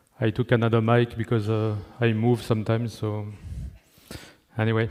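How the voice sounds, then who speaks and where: Speaking at a fairly quick pace with a French accent, a man keeps a medium pitch and monotone, flat intonation. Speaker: network engineering manager. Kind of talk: conference talk.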